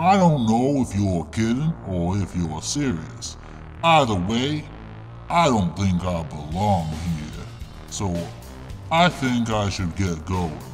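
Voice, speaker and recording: Over clear background music, a man uses a put-on character voice with fairly low pitch, talking at a fairly slow pace with long, frequent pauses. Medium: machinima. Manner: calm, matter-of-fact, mildly indignant.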